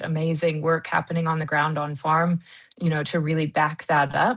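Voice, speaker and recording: This woman has a fairly low pitch and a somewhat breathy sound, speaking with an American accent. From US, Kansas. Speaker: wool industry marketing consultant. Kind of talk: interview. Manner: many fillers (um, uh).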